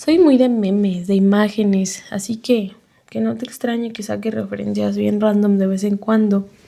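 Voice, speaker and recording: A woman speaks in a Mexico City accent with a medium pitch. Her tone is dark and mellow, and her pace is moderate. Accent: Mexico City sing-song intonation. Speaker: podcast host. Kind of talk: reflective monologue. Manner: casual, conversational.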